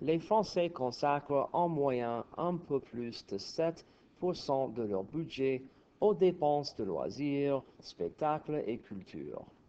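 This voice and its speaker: At a very slow pace, a man speaks with a fairly high pitch, a dark, mellow tone and lively intonation. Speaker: French teacher. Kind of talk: textbook reading aloud as pronunciation model. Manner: some stuttering and stammering.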